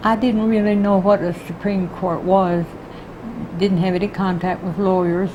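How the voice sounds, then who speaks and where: With an American accent, a woman speaks at a moderate pace and medium pitch in a monotone, flat intonation, against noticeable background noise. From Texas (Houston). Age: 80s+. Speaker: retired court clerk. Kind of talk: oral history interview.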